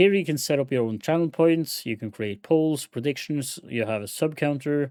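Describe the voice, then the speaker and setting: On a very clean recording with a silent background, a man uses lively intonation in an unremarkable speaking voice. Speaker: streamer teaching software. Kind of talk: live stream tutorial. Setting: live stream with chat.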